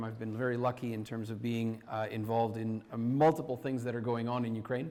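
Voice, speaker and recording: In a Canadian accent, a man with a medium pitch talks at a very fast pace amid audible room echo. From Canada. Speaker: university professor and deputy minister. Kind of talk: conference talk. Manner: halting, many fillers and restarts.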